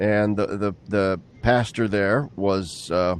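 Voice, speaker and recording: A man talks at a very slow pace in a fairly low voice. Noticeable background noise can be heard. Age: 60s. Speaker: interview host, theologian. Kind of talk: casual discussion.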